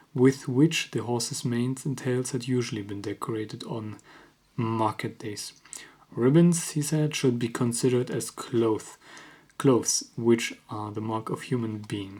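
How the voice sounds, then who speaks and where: Whispering, a man moves along at a fairly slow pace. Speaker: ASMR creator. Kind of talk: ASMR book reading. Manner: whispered.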